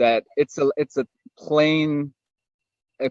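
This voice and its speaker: This man speaks very slowly, his fairly high pitch showing ordinary variation. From Germany. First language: German. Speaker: network marketer. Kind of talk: webinar testimony. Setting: online webinar. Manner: searching for words.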